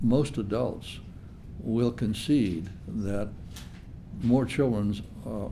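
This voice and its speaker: A dark, mellow tone at a very slow pace, with ordinary pitch variation. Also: man. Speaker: UFO researcher. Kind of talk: interview answer.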